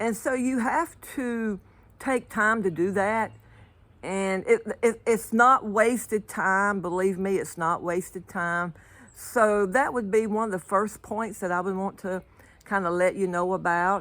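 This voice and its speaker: The recording is very clean, with a silent background, as a woman speaks fairly slowly at a medium pitch with ordinary pitch variation. She has an unremarkable speaking voice. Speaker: motivational speaker. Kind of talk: casual motivational talk to camera. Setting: outdoors.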